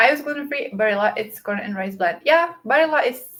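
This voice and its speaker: A woman with a non-native accent speaks at a fairly high pitch with lively intonation. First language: not English. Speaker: book and productivity YouTuber. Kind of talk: casual livestream chat. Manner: hesitant, many fillers.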